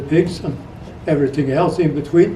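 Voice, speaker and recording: Noticeable background noise and audible room echo. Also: man. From Sweden. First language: Swedish. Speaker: retired rancher and trapper. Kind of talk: interview storytelling. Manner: halting.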